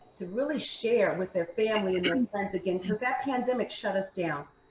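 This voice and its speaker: Her pitch is fairly high as a woman speaks with an American accent. Noticeable noise sits in the background. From Maryland. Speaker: fitness instructor and food entrepreneur. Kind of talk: interview.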